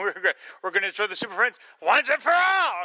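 A man puts on a character voice pitched high. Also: moderate pace. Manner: screaming, furious.

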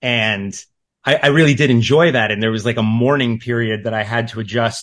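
A man speaks in an ordinary speaking voice at a medium pitch with ordinary pitch variation over a quiet background. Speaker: podcast guest. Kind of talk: casual chat.

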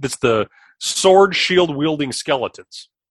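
Recorded with a dry, close sound with no echo, a man with a plain, everyday voice speaks in an American accent at a fairly high pitch with lively intonation. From US Midwest, South Dakota. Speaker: podcast guest, film fan. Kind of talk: casual chat.

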